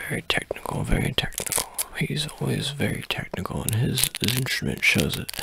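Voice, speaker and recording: A man's voice, dry with no echo, over noticeable background noise. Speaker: ASMR content creator. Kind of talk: whisper ASMR role-play, mock-conspiratorial open letter.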